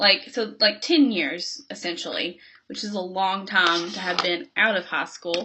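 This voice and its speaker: A woman speaks with a Kentucky accent. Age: 20s. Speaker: beauty vlogger. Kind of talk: casual chat.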